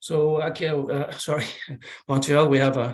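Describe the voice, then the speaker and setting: The somewhat breathy voice moves at a moderate pace. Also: man. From Iceland. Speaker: air accident investigator. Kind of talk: presentation. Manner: halting, many fillers.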